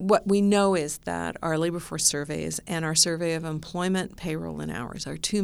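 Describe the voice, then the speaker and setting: In a Canadian accent, a woman talks at a moderate pace on a very clean recording with a silent background. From immigrated to Canada very young. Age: 60s. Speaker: labor economist. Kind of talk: interview.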